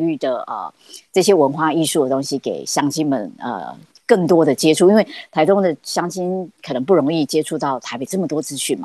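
The tone is dark and mellow, and the pace fairly quick. The sound is dry and close, with no echo. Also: woman. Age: 50s. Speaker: arts producer and curator, adjunct dance professor. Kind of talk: casual interview.

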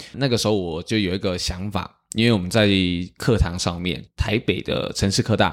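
Fairly low in pitch, this man has an unremarkable speaking voice. His pace is moderate and his pitch variation ordinary. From Taiwan, Tainan. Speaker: street performer, pipe percussionist. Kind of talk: interview conversation.

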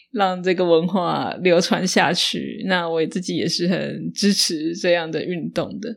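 On a very clean recording with a silent background, a woman with vocal fry and a fairly low pitch speaks very slowly, her intonation fairly even. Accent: Taiwanese. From northern Taiwan. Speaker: podcast host, Mandarin teacher. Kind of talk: solo podcast monologue for learners.

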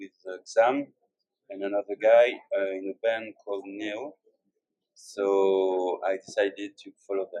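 In a French accent, a man with a fairly low pitch speaks fairly slowly with long, frequent pauses, fairly even intonation and big swings in loudness, in a dry, close sound with no echo. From France, Bordeaux. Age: 30s. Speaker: singer-songwriter and guitarist. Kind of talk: interview. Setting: live recording with interpreter. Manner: halting.

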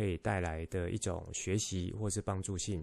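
A man speaks with a fairly low pitch and a dark, mellow tone. The background is quiet. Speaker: podcast host and mind-map instructor. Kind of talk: solo podcast monologue. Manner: slow; calm, soothing.

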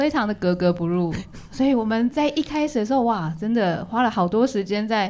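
Talking at a fairly quick pace in a plain, everyday voice, a woman with a fairly high pitch keeps very even loudness and lively intonation. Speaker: visual artist and community college teacher. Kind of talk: casual chat.

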